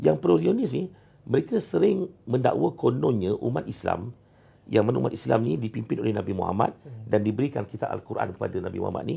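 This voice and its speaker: His pitch fairly low and swinging very widely, a man talks at a fairly quick pace with vocal fry. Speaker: Islamic scholar guest speaker. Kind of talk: interview answer. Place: home room.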